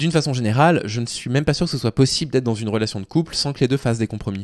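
Over a quiet background, a man talks at a very fast pace. His intonation is lively. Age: 30s. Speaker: YouTuber and Twitch streamer commenting on dating advice; YouTuber, Twitch streamer commenting on dating advice. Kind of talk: live stream commentary reading and critiquing a forum post. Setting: live on Twitch. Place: home room. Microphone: studio mic.

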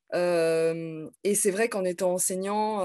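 A woman talks at a very slow pace and fairly low pitch, her tone dark and mellow and her intonation fairly even, against a quiet background. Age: 30s. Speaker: teacher; teacher, interviewee. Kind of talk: casual interview. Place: home room. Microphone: video call.

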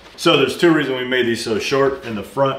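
A man with ordinary pitch variation amid loud background noise. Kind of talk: casual workshop tutorial chat. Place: workshop.

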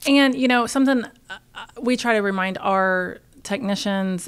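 A woman with an American accent at a moderate pace, with ordinary pitch variation. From Oklahoma, Tulsa; Oklahoma. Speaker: podcast host, trades business owner; podcast host. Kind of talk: casual interview. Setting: conference venue. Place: meeting room. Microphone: studio mic.

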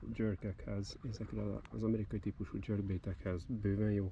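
Somewhat breathy and at a very slow pace, a man speaks in a fairly low pitch with ordinary pitch variation, the sound dry with no echo and light background noise. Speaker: fishing video creator. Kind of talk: outdoor product review vlog. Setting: outdoors on the Danube bank. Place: waterside. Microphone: phone near.

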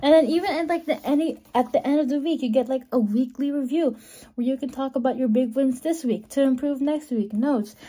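With ordinary pitch variation, the delivery runs at a fairly quick pace. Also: woman, high pitch for a woman. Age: 20s. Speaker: vlogger. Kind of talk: casual vlog talk to camera. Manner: animated. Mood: cheerful, chatty. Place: home room. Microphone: phone near.

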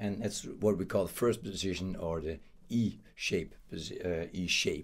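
The speaker moves at a fairly slow pace with fairly even intonation. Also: man, very deep, low pitch for a man. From Netherlands. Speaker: guitar teacher. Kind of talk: tutorial. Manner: casual, hesitant with fillers. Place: home room.

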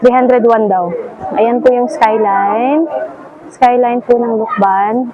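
Against noticeable background noise and an audible room echo, the words come out very slowly. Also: woman, high pitch for a woman, ordinary pitch variation. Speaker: travel vlogger. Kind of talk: casual vlog narration. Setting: outdoors. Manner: animated.

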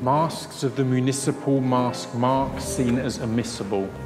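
Clear background music behind a man of medium pitch talking at a fairly slow pace. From UK. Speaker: spoken word poet. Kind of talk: poetry reading. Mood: dark, intense, measured.

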